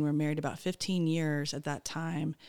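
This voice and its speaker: Speaking at a fairly quick pace with an American accent, a woman has a plain, everyday voice and a fairly low pitch. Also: very clean recording, silent background. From US, Pennsylvania (Harrisburg). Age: 40s. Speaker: missionary. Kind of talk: interview testimony.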